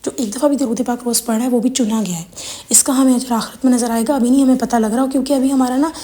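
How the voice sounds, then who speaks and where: A woman with a high pitch speaks at a moderate pace with ordinary pitch variation. Background noise is noticeable. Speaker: religious content creator. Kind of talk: religious Q&A talk.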